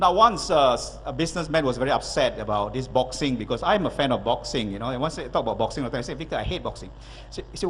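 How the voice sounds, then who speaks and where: A man talks at a fairly quick pace in an energetic tone. Noticeable background noise runs beneath him. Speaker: motivational speaker. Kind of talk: keynote speech.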